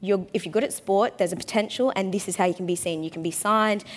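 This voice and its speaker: Over a very clean recording with a silent background, a woman with an Australian accent talks at a very fast pace, her intonation fairly even. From Australia (Brisbane). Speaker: panel moderator, former AFL player. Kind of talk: panel talk before live audience. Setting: stage with audience.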